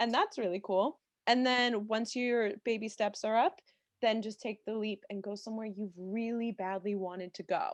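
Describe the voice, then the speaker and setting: Against a quiet background, an unremarkable speaking voice with an American accent moves at a moderate pace with ordinary pitch variation, the sound dry and close with no echo. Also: woman, fairly high pitch for a woman. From Maryland, near Washington DC. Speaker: travel writer and TV production worker. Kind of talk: podcast interview.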